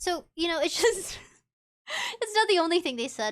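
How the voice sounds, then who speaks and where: A woman's raised, projected voice with a bright, sharp tone and lively intonation, on a very clean recording with a silent background. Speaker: VTuber streamer. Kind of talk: casual chat. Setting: live stream.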